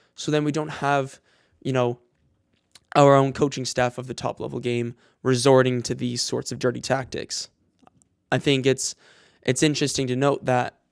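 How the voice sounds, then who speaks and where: A man at medium pitch speaks in a monotone, flat intonation with long, frequent pauses, the sound dry and close with no echo. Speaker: soccer coach and podcast host. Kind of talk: casual solo podcast monologue. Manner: halting, self-described stutter.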